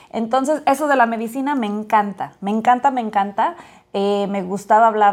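This woman has an unremarkable speaking voice, pitched fairly high, with ordinary pitch variation. She talks at a moderate pace. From Monterrey, northern Mexico. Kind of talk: casual chat.

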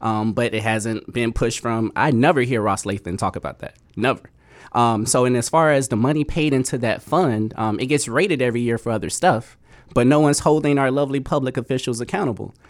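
This man has an unremarkable speaking voice of medium pitch, talking at a fairly quick pace with ordinary pitch variation. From Miami, Florida. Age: 30s. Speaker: congressional candidate. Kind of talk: radio interview. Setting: studio.

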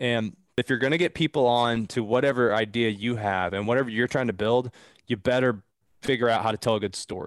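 A normal speaking voice from a man with an American accent, medium pitch and ordinary pitch variation. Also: fairly quick pace. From US South, southeastern Kentucky. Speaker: startup founder and CEO. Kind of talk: casual interview.

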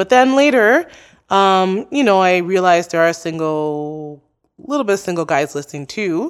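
A woman with an unremarkable speaking voice, fairly low in pitch, with lively intonation at a fairly slow pace, on a very clean recording with a silent background. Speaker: podcaster. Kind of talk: casual interview.

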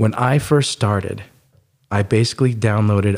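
This man has an ordinary speaking voice at a medium pitch. His pace is fairly quick. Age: 50s. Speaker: podcast host and former restaurant cook. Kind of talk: solo tutorial podcast. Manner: casual, with frequent fillers.

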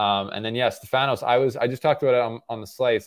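A man with a Canadian accent and a plain, everyday voice speaks at medium pitch with fairly even intonation. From Canada. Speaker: tennis content creator. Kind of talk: casual chat.

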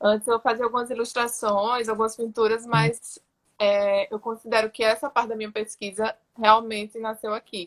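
A woman with a fairly high voice keeps a moderate pace and monotone, flat intonation. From Brazil, Rio Grande do Norte (Natal). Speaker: visual artist and poet. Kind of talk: casual interview on a live stream.

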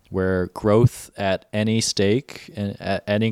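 A fairly low-pitched man at a very slow pace, dry and close with no echo, in a very clean recording with a silent background. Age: 20s. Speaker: filmmaker and YouTube creator. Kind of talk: casual chat.

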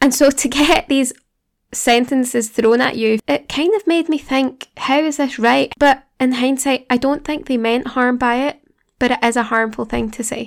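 A woman in a Glaswegian accent, high-pitched with ordinary pitch variation, at a moderate pace. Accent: Glaswegian Scottish. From Scotland. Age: 20s. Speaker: podcast host, graduate medical student. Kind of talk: casual personal monologue, solo podcast. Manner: conversational, earnest.

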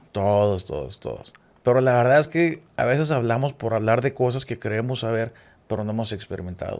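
A man with an unremarkable speaking voice talks at a fairly quick pace with ordinary pitch variation. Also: medium pitch for a man. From Mexico, Chihuahua. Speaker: television production director. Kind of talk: casual interview chat.

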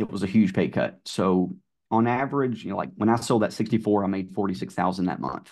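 A man's fairly low voice with vocal fry, very fast pace and a quiet background. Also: ordinary pitch variation. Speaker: podcast host and car salesman. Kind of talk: casual interview. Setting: recorded podcast conversation. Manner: smooth talker.

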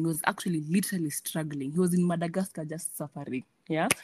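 Somewhat breathy speech moves at a fairly quick pace, with a dry, close sound and no echo. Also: woman. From Kenya, Kiambu. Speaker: podcast guest. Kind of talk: casual chat.

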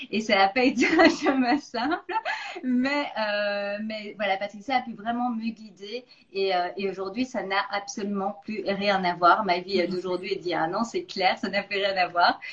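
Somewhat breathy speech at a fairly slow pace, with ordinary pitch variation and a slight Belgian accent. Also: woman. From Belgium. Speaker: nutrition coach and interviewer. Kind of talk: interview on a live stream.

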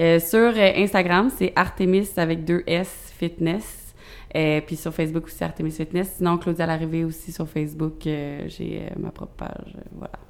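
With an ordinary speaking voice, a woman talks at a fairly slow pace, her fairly low pitch holding fairly even intonation. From Quebec, Rive-Sud of Montreal. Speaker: fitness coach and business owner. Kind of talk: casual chat. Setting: studio.

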